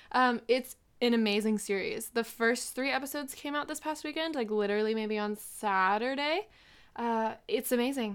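At a moderate pace, a woman talks in a normal speaking voice, fairly high in pitch with ordinary pitch variation. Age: 20s. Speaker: podcast co-host. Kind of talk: casual chat. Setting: video call.

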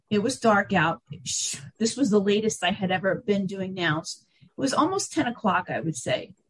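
A woman speaks at a medium pitch and fairly slow pace, with vocal fry and very wide pitch swings, in a dry, close sound with no echo. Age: 50s. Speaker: author and conference organizer. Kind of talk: interview.

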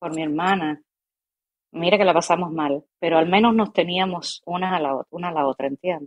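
In a calm tone, a woman with a fairly low pitch speaks at a moderate pace with ordinary pitch variation, the sound dry and close with no echo. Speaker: actress and acting teacher. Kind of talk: casual interview chat. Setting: live stream.

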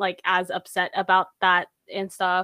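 A woman with an American accent speaks fairly slowly at a medium pitch. The sound is dry and close with no echo, in a very clean recording with a silent background. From US. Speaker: podcast co-host. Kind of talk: casual chat.

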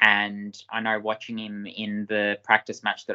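Monotone, flat intonation in an Australian accent. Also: man. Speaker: junior football draft podcast co-host. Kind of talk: casual sports analysis chat. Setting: recorded video podcast.

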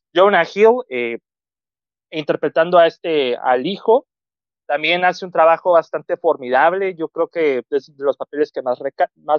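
With a high pitch, a man talks at a fairly slow pace with ordinary pitch variation. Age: 20s. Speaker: film commentator. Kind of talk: casual chat.

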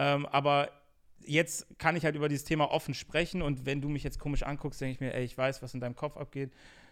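Very fast, monotone, flat delivery from a man with a fairly high pitch, on a very clean recording with a silent background. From Germany, Bonn. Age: 20s. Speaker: YouTube interviewer. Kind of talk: casual chat.

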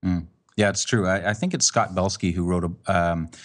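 Someone with a Canadian accent speaks at a moderate pace against a quiet background. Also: man. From Canada. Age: 40s. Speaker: photographer and author. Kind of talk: casual chat.

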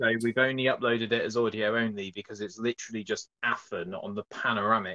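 An ordinary speaking voice from a man at medium pitch. The sound is dry and close, with no echo. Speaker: podcaster. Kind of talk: casual chat.

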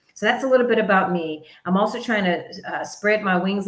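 In an American accent, the speaker talks at a fairly quick pace with an animated tone, and audible room echo surrounds the voice. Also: woman. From US South, North Carolina. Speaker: podcast host, finance segment. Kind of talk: motivational talk on personal finance.

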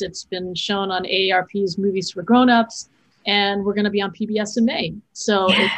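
At a moderate pace and medium pitch, a woman speaks in a somewhat breathy voice with fairly even intonation. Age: 50s. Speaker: filmmaker and educator. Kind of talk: interview conversation.

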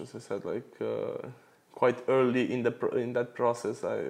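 The speaker is a man. He talks with a Romanian accent. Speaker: guest, computer engineering student. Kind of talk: casual interview chat.

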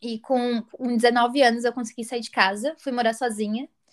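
A woman speaks at a high pitch with fairly even intonation. The recording is very clean, with a silent background. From Brazil, interior of São Paulo state. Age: 20s. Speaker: travel podcast co-host. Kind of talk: casual chat.

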